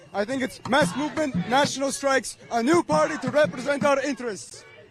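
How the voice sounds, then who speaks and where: A man with a non-native accent speaks at an extremely high pitch and a fairly quick pace, with ordinary pitch variation. Background noise is noticeable. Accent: foreign. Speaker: protester. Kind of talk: street interview.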